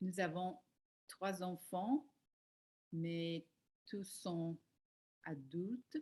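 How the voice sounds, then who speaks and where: With an English accent, a woman talks very slowly at medium pitch, leaving long, frequent pauses. Her voice is somewhat breathy. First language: English (speaking French). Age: 60s. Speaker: life coach learning French. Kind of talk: language practice self-introduction. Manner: halting, with hesitations and self-corrections.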